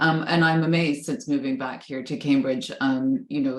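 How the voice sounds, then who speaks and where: A woman with a North American accent speaks at a fairly quick pace with ordinary pitch variation. Noticeable background noise is present. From Canada and the US. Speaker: professor, panel moderator. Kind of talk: panel moderation. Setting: video call.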